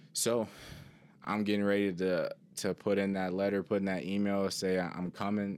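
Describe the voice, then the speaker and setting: With an American accent, a man speaks at a moderate pace in a very deep, low, monotone voice with flat intonation, recorded very cleanly against a silent background. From Cleveland, Ohio. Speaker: former student athlete. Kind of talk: personal testimony.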